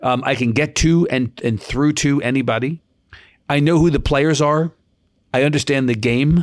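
In a normal speaking voice, a man with an American accent talks at a fairly high pitch, with fairly even intonation and very even loudness. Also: moderate pace. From New York. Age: 50s. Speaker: news organization CEO. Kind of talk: interview. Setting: remote interview from home.

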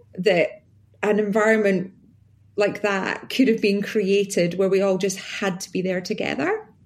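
At a fairly slow pace, a woman talks in a normal speaking voice at medium pitch. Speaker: podcast host. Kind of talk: casual conversation. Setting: video call.

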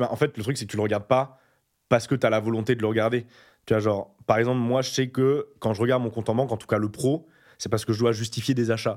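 Very fast-paced man on a very clean recording with a silent background. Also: medium pitch for a man. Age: 20s. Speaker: YouTuber. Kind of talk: casual chat. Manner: animated.

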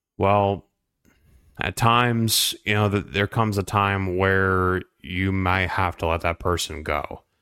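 Speaking very slowly, a man with a very deep, low pitch and a bright, sharp tone is heard on a very clean recording with a silent background. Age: 30s. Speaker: podcast host. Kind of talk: solo monologue. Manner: hesitant, many fillers.

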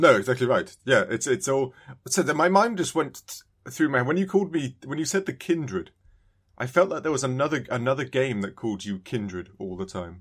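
A man with a British accent talks at a fairly quick pace and medium pitch, with vocal fry and very wide pitch swings. The recording is very clean, with a silent background. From UK. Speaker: podcast co-host. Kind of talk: casual chat.

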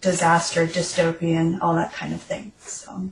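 Noticeable background noise sits behind a woman's voice. She speaks at a fairly low pitch and a moderate pace. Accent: US Midwestern. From Nebraska, US Midwest. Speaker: novelist. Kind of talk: interview.

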